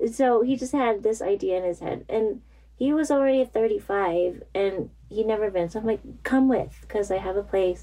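A woman talks at a moderate pace with a fairly high pitch and ordinary pitch variation. Her tone is dark and mellow, with an American accent. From US suburbs. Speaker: runner and outdoor gear designer. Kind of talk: interview. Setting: at home, in kids' room.

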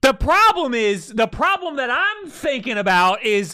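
Over noticeable background noise, a man with an American accent uses a raised, projected voice at an extremely high pitch, swinging very widely in pitch with an animated tone at a moderate pace. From Long Island, New York. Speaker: podcast host. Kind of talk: casual chat. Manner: loud, animated.

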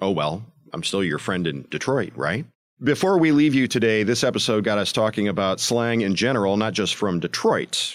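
With an American accent, a man speaks at a moderate pace and fairly low pitch, with lively intonation. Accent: Midwestern, smoothed by broadcast training. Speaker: podcast host. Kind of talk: scripted narration with interviews.

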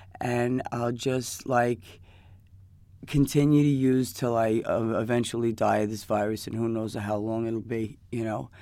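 In a New York accent, a woman speaks at a very deep, low pitch with a dark, mellow tone and fairly even intonation. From New York, Queens. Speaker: addict in recovery. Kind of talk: personal testimony. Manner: halting.

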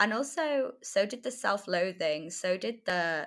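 A woman with a North Welsh accent on a very clean recording with a silent background. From North Wales. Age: 20s. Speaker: freelance writer. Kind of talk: casual interview.

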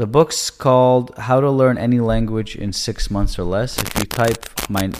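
A man with a Canadian accent speaks over noticeable background noise. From Canada. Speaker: real estate agent. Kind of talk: casual interview chat. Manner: casual.

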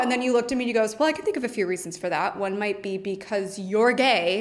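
A woman's fairly high voice at a very fast pace with hardly any pauses, against noticeable background noise. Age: 20s. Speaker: cancer survivor. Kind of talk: casual chat.

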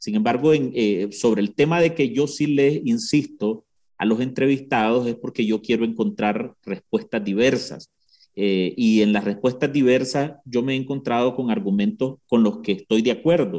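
Dark, mellow tone from a man with a Nicaraguan accent, medium pitch, ordinary pitch variation and a fairly slow pace. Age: 30s. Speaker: journalist. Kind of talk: interview.

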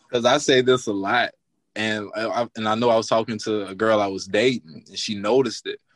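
A man with an American accent has an unremarkable speaking voice at a medium pitch. He talks at a fairly quick pace with fairly even intonation. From US South, northern Louisiana. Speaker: banker, podcast panelist. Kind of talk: casual panel chat.

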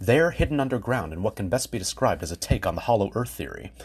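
A man speaks at a very fast pace with a medium pitch and vocal fry. His pitch swings very widely. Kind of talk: history documentary narration. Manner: measured, formal, polished scripted delivery; clear, steady storyteller pacing with explanatory emphasis.

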